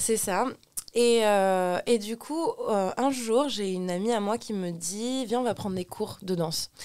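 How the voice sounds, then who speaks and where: Very slow speech from a woman, ordinary in its pitch variation. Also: fairly high pitch for a woman. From Lebanon. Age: 20s. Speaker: cabaret dancer. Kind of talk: casual chat. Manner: halting.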